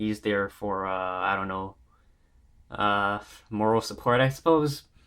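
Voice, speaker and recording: Fairly even intonation in a man's fairly low-pitched voice. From Canada. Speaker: YouTuber, PC gamer. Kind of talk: casual tech setup tour. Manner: casual, hesitant with many fillers.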